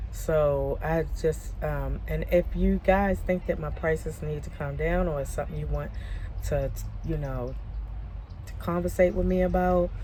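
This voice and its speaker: Delivered at a moderate pace, the speech has audible room echo. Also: woman. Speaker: vlogger and crafter. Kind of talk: casual vlog monologue. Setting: outdoors at a park. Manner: halting, many fillers.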